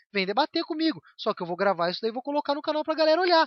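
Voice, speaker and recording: Talking at a very fast pace, a man moves through very wide pitch swings. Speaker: YouTuber. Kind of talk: vlog rant. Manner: animated.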